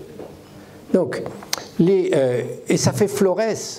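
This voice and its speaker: A man is speaking in a room with audible echo. Noticeable background noise can be heard. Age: 70s. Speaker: coach and conference speaker. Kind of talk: live conference talk. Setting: stage with audience. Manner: halting, many repetitions.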